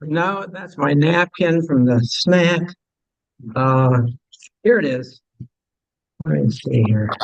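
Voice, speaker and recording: A man speaks at a very slow pace in a fairly high voice, leaving long, frequent pauses. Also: lively intonation. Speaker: astronomy club officer introducing speaker. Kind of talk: speaker introduction at club meeting. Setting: meeting room with audience and microphone. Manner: halting; loud.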